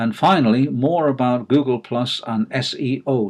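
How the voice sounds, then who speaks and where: A man with a northern English accent talks at a moderate pace and a medium pitch. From northern England. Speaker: online marketer. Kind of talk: video presentation. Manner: hesitant, many fillers.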